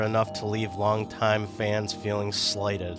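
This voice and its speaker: The speaking pace is moderate. Behind it, music plays. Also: man. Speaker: video game reviewer. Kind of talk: scripted video game review narration. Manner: profane, sarcastic.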